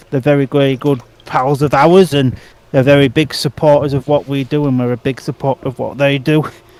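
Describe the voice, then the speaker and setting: In a dry, close sound with no echo, a man with a fairly high pitch talks at a fairly quick pace in monotone, flat intonation. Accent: English. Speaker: speedway podcast co-host. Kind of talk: casual chat watch-along commentary.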